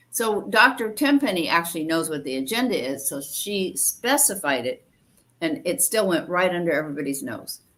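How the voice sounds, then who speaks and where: Her pitch swings very widely. The woman speaks at a moderate pace. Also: fairly low pitch for a woman. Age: 70s. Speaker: participant in religious study group. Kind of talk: group discussion. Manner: halting.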